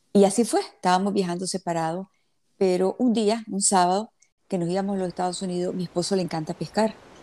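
This woman's voice has a dark, mellow tone at a medium pitch. She talks at a very fast pace. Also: very clean recording, silent background. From Nicaragua (born in Havana, Cuba). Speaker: philanthropist, plane crash survivor. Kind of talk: interview, personal story.

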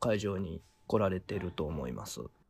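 A man is speaking. His tone is dark and mellow. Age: 40s. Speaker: violin maker, association head. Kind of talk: interview.

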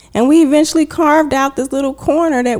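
The background has noticeable noise. A woman talks over it. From Texas, Houston. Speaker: lawyer. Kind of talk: casual interview.

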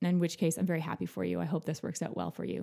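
A woman with a Canadian accent, vocal fry, and a dark, mellow tone. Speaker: podcast host. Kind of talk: casual interview. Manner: warm, chatty.

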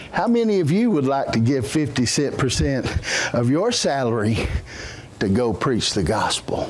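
Speaking at a very slow pace, a man with a fairly high pitch swings his pitch very widely while keeping his loudness very even over noticeable background noise. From Brazil. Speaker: missionary preacher. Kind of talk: sermon. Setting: church.

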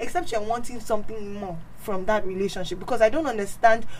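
A woman with an unremarkable speaking voice, medium pitch and ordinary pitch variation. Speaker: guest. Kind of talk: casual chat.

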